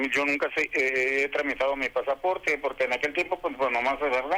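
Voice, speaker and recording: Bright and sharp in tone, a man's fairly high voice holds fairly even intonation. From Tijuana, Mexico. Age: 60s. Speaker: caller. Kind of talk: call-in question to a legal advice radio show. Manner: halting.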